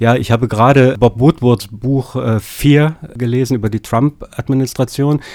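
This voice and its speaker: At a moderate pace, a man speaks with fairly even intonation and a medium pitch. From Lower Saxony, Germany. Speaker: political science professor. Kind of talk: interview. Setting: studio. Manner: hesitant with fillers.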